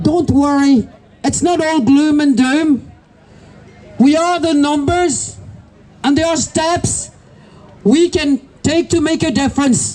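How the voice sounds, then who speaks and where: Speaking at a very slow pace with long, frequent pauses, a woman with a high pitch and a French accent keeps a very even loudness and ordinary pitch variation over noticeable background noise. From France. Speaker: protest speaker, business owner. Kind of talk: protest speech. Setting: outdoor protest.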